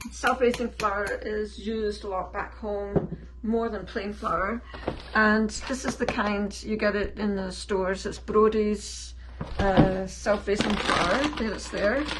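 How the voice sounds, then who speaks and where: Over noticeable background noise and audible room echo, a woman speaks at a very slow pace in a Scottish accent. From Scotland. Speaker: home cook. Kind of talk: tutorial.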